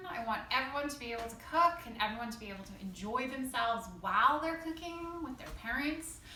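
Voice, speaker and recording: A woman talks in a raised, projected voice with an upbeat tone, lively intonation, big swings in loudness, and a fairly quick pace with hardly any pauses, amid noticeable background noise and audible room echo. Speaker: school cooking teacher. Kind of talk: tutorial. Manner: fast; casual, upbeat.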